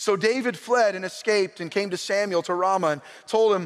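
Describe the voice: The clip is plain reading aloud.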